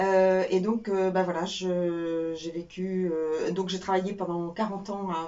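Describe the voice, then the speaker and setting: A woman speaks at a fairly slow pace and medium pitch, her intonation monotone and flat. Noticeable background noise and audible room echo fill the recording. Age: 60s. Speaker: former telecom employee, burnout survivor. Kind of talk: personal testimony interview. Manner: hesitant, many fillers.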